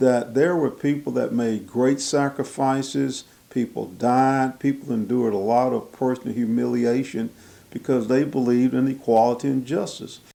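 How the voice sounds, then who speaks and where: A man with a Southern US accent speaks at a moderate pace in a dark, mellow tone. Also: medium pitch for a man, fairly even intonation. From Mississippi. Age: 70s. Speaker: county supervisor. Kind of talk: news interview. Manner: halting.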